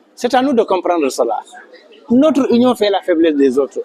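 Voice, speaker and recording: A man's high-pitched voice with very wide pitch swings, over noticeable background noise. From Senegal, Casamance. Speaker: community association leader. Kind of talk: interview testimony. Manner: hesitant, with fillers.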